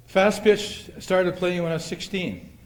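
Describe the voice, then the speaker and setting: A man talks at a moderate pace with ordinary pitch variation. There is audible room echo. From Canada, Manitoba (Winnipeg). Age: 70s. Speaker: retired softball player, hall of fame inductee. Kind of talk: acceptance speech. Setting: banquet hall with audience. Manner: halting, with many fillers.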